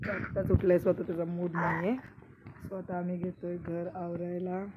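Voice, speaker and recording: A woman's monotone, flat intonation sits against noticeable background noise. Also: fairly low pitch for a woman. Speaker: vlogger, mother. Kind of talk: casual vlog.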